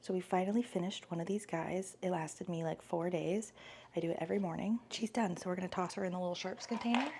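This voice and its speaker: A woman talks at a very fast pace. Background noise is noticeable throughout. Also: medium pitch for a woman, ordinary pitch variation. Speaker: vlogger. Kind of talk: casual vlog. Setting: at home.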